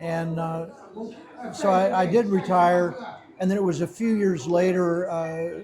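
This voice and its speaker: A man's high voice with an American accent and ordinary pitch variation, plus audible room echo and noticeable background noise. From USA. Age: 70s. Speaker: retired stockbroker and English teacher. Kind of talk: interview. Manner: halting, many fillers and repetitions.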